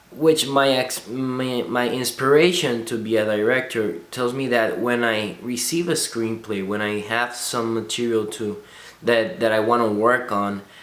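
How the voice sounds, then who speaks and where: A man of medium pitch speaks at a fairly slow pace with hardly any pauses, his pitch variation ordinary, in a room with audible echo. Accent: non-native. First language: not English. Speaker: film student. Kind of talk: video blog reflection. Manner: halting, many restarts.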